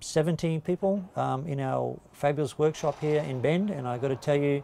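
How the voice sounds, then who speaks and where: With a dark, mellow tone, a man speaks using ordinary pitch variation. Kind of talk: interview answer. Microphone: lapel.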